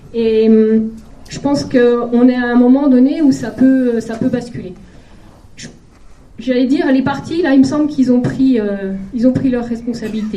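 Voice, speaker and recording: There's audible room echo and noticeable background noise as a woman with a high pitch speaks at a moderate pace with ordinary pitch variation. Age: 40s. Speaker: political candidate, primary school teacher. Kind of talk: campaign rally speech. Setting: packed hall with audience. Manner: hesitant, many filler sounds.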